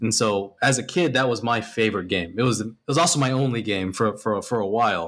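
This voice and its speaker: Here a man talks at a medium pitch and a moderate pace. His pitch variation is ordinary. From Texas. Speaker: animation artist and art instructor; art instructor. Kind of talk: interview. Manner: casual with many fillers. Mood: relaxed, friendly. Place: home room.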